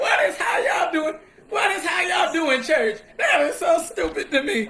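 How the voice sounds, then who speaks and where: Over noticeable background noise, a man projects a raised voice at an extremely high pitch, with very wide pitch swings, an animated tone and a moderate pace. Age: 30s. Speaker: livestream host, former cult member. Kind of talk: casual livestream chat, testimony. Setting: live stream on Facebook and TikTok. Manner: talkative.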